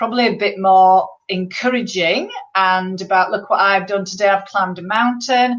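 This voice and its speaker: Against a quiet background, a woman speaks at a medium pitch in a Yorkshire accent. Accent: Yorkshire accent, can sound abrupt. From northern England, Bradford, West Yorkshire. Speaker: motivational speaker and poet, stroke survivor. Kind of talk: interview. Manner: direct.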